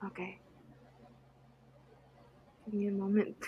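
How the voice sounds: A woman speaks slowly at a medium pitch. Her voice has a husky, rough edge and a monotone, flat intonation.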